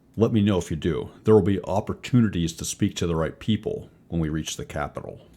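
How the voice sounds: In a gruff, put-on character voice, the speaker rattles along at a very fast pace. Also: man, fairly low pitch for a man.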